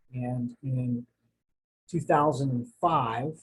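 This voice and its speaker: Somewhat breathy and very slow, a man talks with fairly even intonation in an American accent. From New Jersey, later Florida. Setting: home study, recorded video. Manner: casual, halting with fillers.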